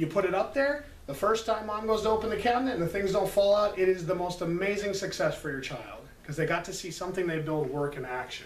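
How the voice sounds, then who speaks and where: Amid noticeable background noise and audible room echo, a man talks at a very fast pace with hardly any pauses, his high pitch carried in lively intonation. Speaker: preschool teacher. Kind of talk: parent workshop presentation.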